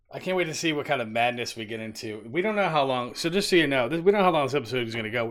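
Over noticeable background noise, a man with a medium pitch races along at a very fast pace with lively intonation and hardly any pauses. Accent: American. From Philadelphia. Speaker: podcast co-host. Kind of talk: casual chat. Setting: studio.

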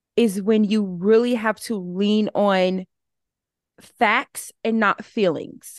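A woman in a Southern US accent talks at a fairly high pitch with ordinary pitch variation. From Alabama. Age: 20s. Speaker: social media content creator. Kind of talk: casual chat.

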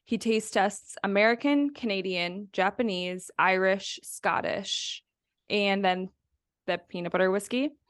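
Heard in a dry, close sound with no echo, a woman with an ordinary speaking voice talks at a fairly slow pace, with medium pitch and ordinary pitch variation. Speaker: podcast co-host. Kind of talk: casual chat.

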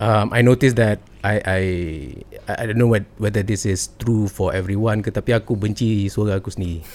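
A man's monotone, flat delivery on a very clean recording with a silent background. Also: fairly low pitch for a man, moderate pace. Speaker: podcast host. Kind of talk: casual interview chat.

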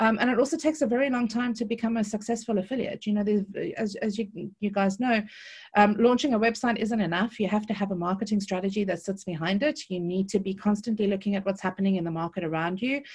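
With a South African accent, a woman talks at a very fast pace, somewhat breathy, at a medium pitch with ordinary pitch variation, against a quiet background. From South Africa, Cape Town. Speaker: affiliate marketing consultant. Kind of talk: interview. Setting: video call.

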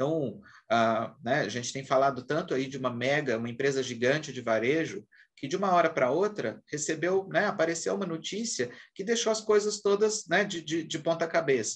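Very wide pitch swings at a moderate pace. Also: man, fairly high pitch for a man. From Brazil, Minas Gerais. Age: 40s. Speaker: HR executive. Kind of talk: interview.

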